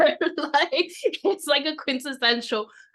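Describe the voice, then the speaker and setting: Lively intonation runs through the fairly slow delivery. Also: woman. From New York. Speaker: podcast co-host. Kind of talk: casual chat.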